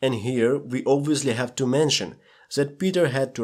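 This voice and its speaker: A man talks with a Russian accent. His pace is fairly slow. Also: very clean recording, silent background. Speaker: movie analysis youtuber. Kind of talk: scripted narration.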